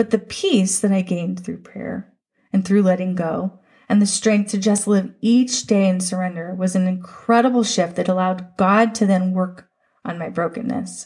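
Somewhat breathy, a woman at medium pitch talks at a moderate pace with fairly even intonation. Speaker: podcast host. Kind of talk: fervent prayer, spoken aloud to God, raw and pleading; devotional podcast monologue. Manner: earnest, emotional, pleading, heartfelt.

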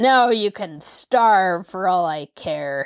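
A woman puts on a character voice at a medium pitch and a very slow pace. The recording is very clean, with a silent background. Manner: harsh, mocking, laughing.

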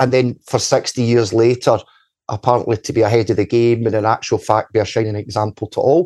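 Very fast speech in a west of Scotland accent, dark and mellow in tone, with fairly even intonation, a dry, close sound with no echo, and a quiet background. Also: man, medium pitch for a man. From Scotland, Paisley area (Ferguslie Park). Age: 40s. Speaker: community activist. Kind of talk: casual interview.

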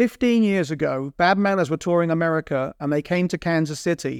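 Hardly pausing, a man with a London accent talks at a fairly quick pace in a high pitch with ordinary pitch variation, the sound dry and close with no echo on a very clean recording with a silent background. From North London, England. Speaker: drummer turned account executive. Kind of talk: interview conversation.

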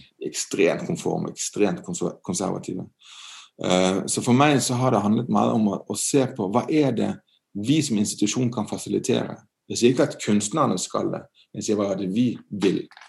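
A man's fairly low voice with vocal fry and lively intonation at a moderate pace, over a quiet background. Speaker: art museum director. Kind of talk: interview. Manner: halting.

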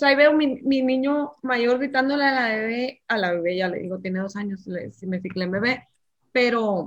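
A woman's speech moves at a middling speed, her pitch varying in a usual way. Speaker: mother. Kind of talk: casual chat. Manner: loud.

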